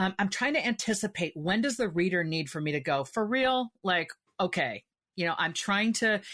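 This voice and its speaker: A woman with a normal speaking voice talks at a moderate pace, her intonation lively, against a quiet background. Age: 50s. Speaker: author. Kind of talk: interview.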